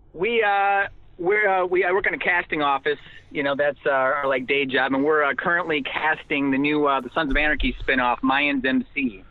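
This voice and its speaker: A plain, everyday voice from a man with an American accent, fairly high in pitch, at a moderate pace. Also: ordinary pitch variation. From Wisconsin, US. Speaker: comedian and actor. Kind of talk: casual chat. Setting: phone call from a parked car.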